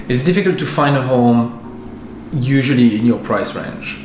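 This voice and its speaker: Music plays behind a man speaking with a French accent. His medium-pitched voice has lively intonation and a moderate pace. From France. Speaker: partnership manager at a relocation company. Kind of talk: interview answer.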